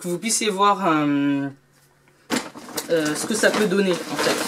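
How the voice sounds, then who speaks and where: Pitched fairly low, a woman's voice shows ordinary pitch variation. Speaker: beauty and lifestyle youtuber. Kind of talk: shopping haul video.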